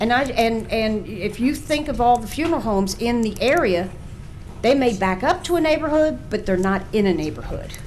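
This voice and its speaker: A woman's fairly high voice in a Southern US accent, with very wide pitch swings and a moderate pace, plus audible room echo and noticeable background noise. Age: 60s. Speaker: local business owner. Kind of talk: public hearing testimony. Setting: public hearing. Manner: halting.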